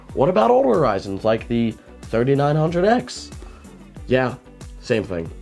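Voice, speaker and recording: A man speaks with very wide pitch swings. Music plays in the background. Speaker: PC hardware youtuber. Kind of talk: casual talk to camera.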